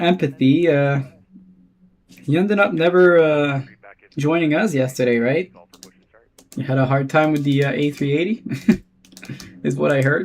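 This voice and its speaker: With long, frequent pauses, a man speaks at a moderate pace with a French-Canadian accent, a fairly high pitch and ordinary pitch variation. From Quebec. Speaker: flight sim streamer. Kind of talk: live stream commentary; radio phraseology. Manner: casual, chatty.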